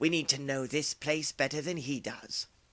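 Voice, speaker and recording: A man puts on a character voice at a fairly high pitch. His pace is moderate. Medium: read story. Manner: sneering, commanding.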